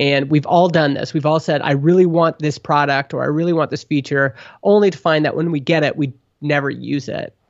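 With an unremarkable speaking voice, a man talks at a fairly quick pace in a fairly high pitch and fairly even intonation. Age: 30s. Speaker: software company co-founder. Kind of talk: interview conversation.

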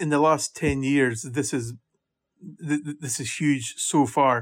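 A man with a Scottish accent talks at a fairly high pitch. His intonation stays fairly even, and the recording is very clean with a silent background. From Scotland. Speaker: golf championship administrator. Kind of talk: interview.

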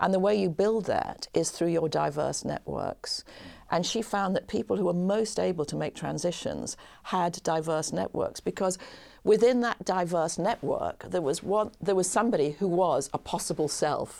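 A woman speaks at a moderate pace with ordinary pitch variation, her voice fairly low with a dark, mellow tone and vocal fry. The recording is very clean, with a silent background. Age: 60s. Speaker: business school professor and author. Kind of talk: podcast interview.

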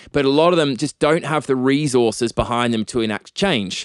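A man with an Australian accent, talking at a fairly quick pace against a quiet background. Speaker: tech entrepreneur and activist. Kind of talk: interview conversation. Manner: articulate.

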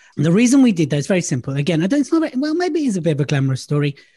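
A man with a London accent against a quiet background. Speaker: public speaking coach. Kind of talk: casual chat. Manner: animated.

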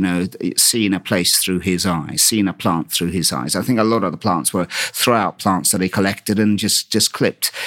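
At a moderate pace, a man speaks with a very deep, low pitch and ordinary pitch variation in a very clean recording with a silent background and a dry, close sound with no echo. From England, with formative years in Istanbul, Turkey. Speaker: head gardener. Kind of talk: interview conversation. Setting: on location in a garden house. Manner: halting, with many repeated words.

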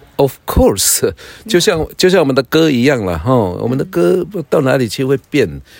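Very wide pitch swings and vocal fry in a male speaker's delivery. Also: moderate pace. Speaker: pastor and native-language teacher. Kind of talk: casual chat. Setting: outdoors by a fire. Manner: halting.

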